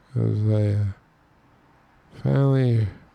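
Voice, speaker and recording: The man talks at a fairly slow pace in a very deep, low pitch. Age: 60s. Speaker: music producer, tutorial maker. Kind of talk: tutorial with casual chat. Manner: casual, rambling with fillers.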